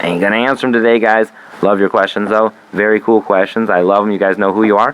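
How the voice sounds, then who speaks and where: Talking at a very fast pace over noticeable background noise, a man speaks in a fairly low pitch. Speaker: comedy podcast host. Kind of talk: casual comedic monologue. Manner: animated; halting, stammering.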